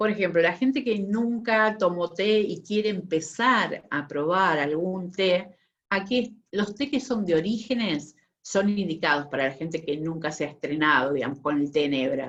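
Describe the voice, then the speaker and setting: A woman speaks at a fairly slow pace with a Rioplatense accent. Her pitch sits in the middle range, and her intonation is lively. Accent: Argentine Rioplatense Spanish. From Buenos Aires, Argentina. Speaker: tea sommelier. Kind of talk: online talk / presentation.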